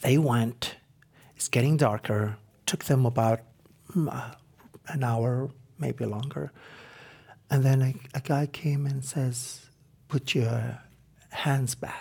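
With an Arabic accent, a man at a medium pitch speaks at a very slow pace, somewhat breathy, with fairly even intonation and long, frequent pauses. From Iraq, Baghdad, with years in London as a child. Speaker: former war translator and film subject. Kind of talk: interview testimony. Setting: stage taping with audience. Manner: halting, many fillers.

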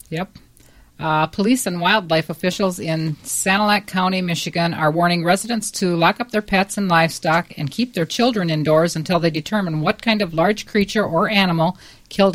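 A woman's fairly low, plain, everyday voice at a moderate pace with ordinary pitch variation. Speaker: quiz show panelist. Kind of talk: casual chat.

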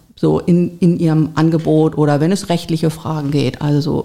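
A woman with a very deep, low pitch speaks at a moderate pace in a monotone, flat delivery. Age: 50s. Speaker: volunteer agency coordinator. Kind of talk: interview.

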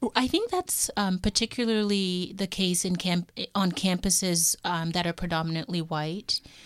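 A woman with an unremarkable speaking voice talks in a Canadian accent at a medium pitch. Her pace is moderate, her intonation fairly even, and she leaves hardly any pauses. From Toronto, Canada. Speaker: university professor. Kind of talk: interview. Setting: studio.

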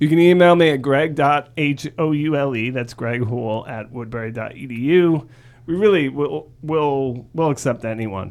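A man with a plain, everyday voice speaks fairly slowly at a fairly high pitch, with ordinary pitch variation. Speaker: podcast co-host. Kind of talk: casual chat and interview.

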